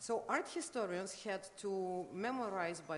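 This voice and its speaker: With a Russian accent, a woman speaks at a medium pitch with lively intonation. Audible echo fills the room. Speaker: art critic. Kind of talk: conference lecture. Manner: halting, many fillers.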